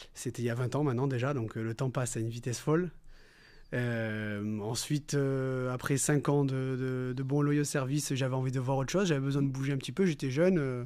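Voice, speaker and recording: A man speaks at a fairly quick pace in a dark, mellow tone with a medium pitch. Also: fairly even intonation. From Nice, southern France. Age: 30s. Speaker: restaurant manager. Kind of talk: interview.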